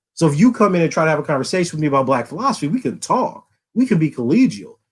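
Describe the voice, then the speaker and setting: A man with an American accent talks at a very fast pace in a fairly high pitch, his tone animated. His pitch swings very widely. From US South, Louisiana. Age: 40s. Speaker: philosophy professor. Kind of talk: podcast interview.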